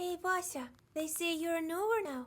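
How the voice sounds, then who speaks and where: At a moderate pace, the put-on character voice squeaks along at an extremely high pitch. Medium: video game. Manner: chatty, informal.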